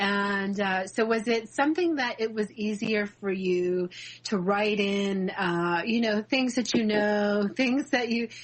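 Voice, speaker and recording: The delivery shows ordinary pitch movement. It is a plain, everyday voice. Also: woman. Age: 40s. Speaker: radio host. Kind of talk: interview.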